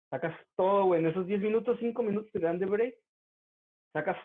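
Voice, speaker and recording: A man speaks with a Mexican accent. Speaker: university student. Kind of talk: casual chat. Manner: animated.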